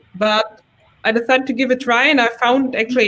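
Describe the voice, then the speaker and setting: The speaker has a German accent and talks at a moderate pace. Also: woman. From Germany. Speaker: front-end developer, community chapter leader. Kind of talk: casual chat.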